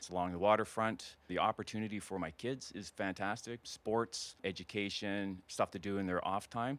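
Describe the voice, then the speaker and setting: An unremarkable speaking voice in a Canadian accent, at a moderate pace with hardly any pauses and fairly even intonation, on a very clean recording with a silent background. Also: man, fairly low pitch for a man. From Alberta prairies, rural. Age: 50s. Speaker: retired soldier turned realtor. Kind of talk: casual interview chat.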